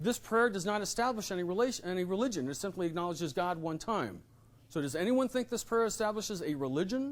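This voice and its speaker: A man at a very fast pace, high in pitch, with lively intonation. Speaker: constitutional scholar and speaker. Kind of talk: lecture.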